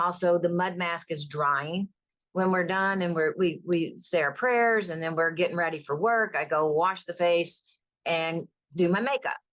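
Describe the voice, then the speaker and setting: A woman with a fairly low pitch and ordinary pitch variation at a moderate pace, over a quiet background. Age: 60s. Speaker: natural skincare business owner. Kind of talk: podcast interview. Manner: animated.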